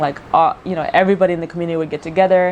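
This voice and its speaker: Noticeable background noise surrounds a woman speaking at a fairly low pitch. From South Sudan, moved abroad very young (upstate US). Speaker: YouTuber. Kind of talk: casual vlog Q&A. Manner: casual with many fillers.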